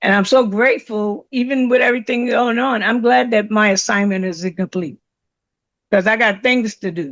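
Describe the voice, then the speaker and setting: A woman's fairly high voice at a moderate pace, with ordinary pitch variation and a quiet background. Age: 60s. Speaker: reverend, service presenter. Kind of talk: testimony. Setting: church service. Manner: halting.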